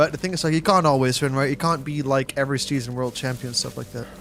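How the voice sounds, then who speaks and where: Over music in the background, a man talks fairly quickly at a medium pitch with ordinary pitch variation. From Netherlands, southern (West Brabant). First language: Dutch. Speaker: gaming streamer. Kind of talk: casual live-stream chat while gaming.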